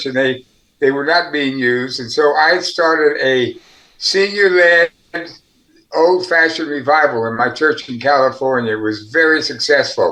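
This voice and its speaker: A man speaks at a fairly high pitch with a bright, sharp tone. His pace is moderate and his pitch variation ordinary. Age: 80s+. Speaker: pastor and missiologist. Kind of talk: interview answer.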